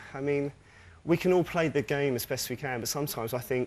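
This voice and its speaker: A man with a British accent, a fairly quick pace and ordinary pitch variation. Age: 40s. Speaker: game show contestant. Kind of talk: game show chat. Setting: TV studio with audience.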